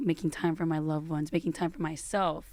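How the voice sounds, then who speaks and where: A woman's fairly low, dark and mellow voice at a very fast pace, in a very clean recording with a silent background. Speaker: DJ. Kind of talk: casual chat.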